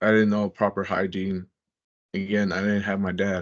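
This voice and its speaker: The speaker has a Spanish accent and a monotone, flat intonation. The background is quiet. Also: man. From US, Mexican-American family. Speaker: former prisoner sharing his story. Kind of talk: interview testimony. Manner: halting, with repeated words and fillers.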